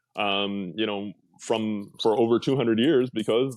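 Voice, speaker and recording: This is a man with an American accent and an ordinary speaking voice. His pitch sits in the medium range, with ordinary variation. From California. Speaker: real estate agent. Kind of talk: casual chat. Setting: podcast interview.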